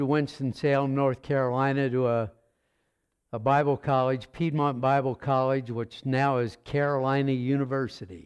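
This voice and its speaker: A man talks at a moderate pace in an unremarkable speaking voice, his pitch fairly high and his intonation fairly even. The background is quiet. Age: 60s. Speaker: pastor. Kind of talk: sermon. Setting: church.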